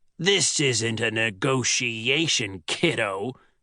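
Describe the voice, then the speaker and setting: Putting on a character voice, a man talks at a very slow pace and a medium pitch, with lively intonation. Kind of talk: audiobook narration. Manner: sneering, menacing.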